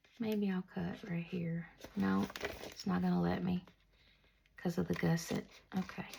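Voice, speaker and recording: A soft-spoken woman talks at a moderate pace. She leaves long, frequent pauses. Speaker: crafter. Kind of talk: tutorial. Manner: casual chatty. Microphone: no lapel mic, maybe quiet.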